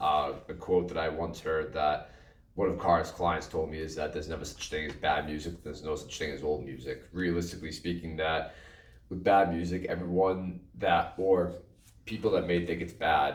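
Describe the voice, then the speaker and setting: In a room with audible echo, a man speaks at a very deep, low pitch with fairly even intonation. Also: moderate pace. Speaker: podcast co-host and drummer. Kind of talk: casual chat. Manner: loud.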